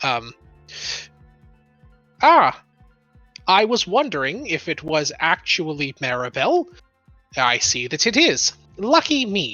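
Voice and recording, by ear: Nasal and at a middle pitch, a put-on character voice moves at a fairly slow pace with long, frequent pauses over faint background music.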